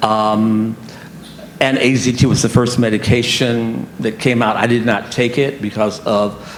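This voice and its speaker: In a room with audible echo and noticeable background noise, a man talks at a medium pitch. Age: 70s. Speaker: HIV advocate and panelist. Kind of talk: personal testimony on a conference panel. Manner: halting, with frequent fillers and repetitions.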